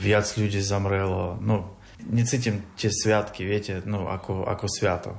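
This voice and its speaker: This is a man speaking. His pitch is fairly low. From Ukraine, Kyiv. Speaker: refugee. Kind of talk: interview. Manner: halting.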